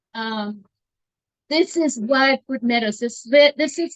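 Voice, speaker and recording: A woman's high-pitched voice with lively intonation and a dry, close sound with no echo. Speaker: teacher. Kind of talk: talk to a meetup audience. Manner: halting, many fillers.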